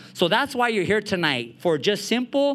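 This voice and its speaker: On a very clean recording with a silent background, a man with an American accent talks at a fairly quick pace in a high pitch, with a bright, sharp tone and very wide pitch swings. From East Los Angeles, US. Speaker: actor and event host. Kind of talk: live panel talk. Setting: community event with audience.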